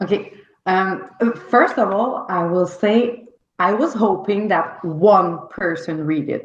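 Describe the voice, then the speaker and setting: A woman with a Quebec accent speaks at a very slow pace, her pitch varying in an ordinary way, with audible echo in the room. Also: medium pitch for a woman. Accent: French Canadian accent in English. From Quebec, Canada. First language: French. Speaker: novelist. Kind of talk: interview. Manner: halting.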